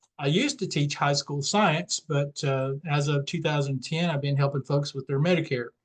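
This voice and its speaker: A man with a slight Southern US accent talks at a moderate pace. His fairly high pitch follows fairly even intonation, with hardly any pauses. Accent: slight Southern twang. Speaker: independent Medicare insurance agent. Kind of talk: webinar presentation. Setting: online webinar with screen share. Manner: casual, with many fillers.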